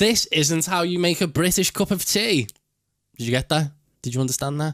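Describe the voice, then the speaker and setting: A man with a strong Scouse accent speaks at a fairly high pitch with ordinary pitch variation. The recording is very clean, with a silent background and a dry, close sound with no echo. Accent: thick Scouse. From Bootle/Crosby, Merseyside. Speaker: online video creator. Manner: fast talker.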